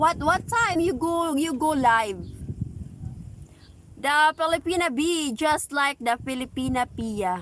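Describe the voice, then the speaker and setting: Against noticeable background noise, a woman uses a raised, projected voice, high in pitch, at a very slow pace. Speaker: live streamer. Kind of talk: livestream chat reading comments. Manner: loud, sounds angry.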